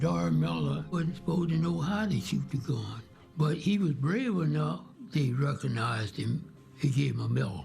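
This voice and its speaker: Music plays behind a man with a Texas accent. He keeps a moderate pace and very even loudness. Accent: Southern US (Texas). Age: 80s+. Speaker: Navy veteran, Pearl Harbor survivor. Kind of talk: interview answer.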